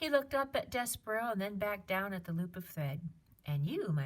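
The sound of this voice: The voice is an unforced reading voice. It is heard reading aloud.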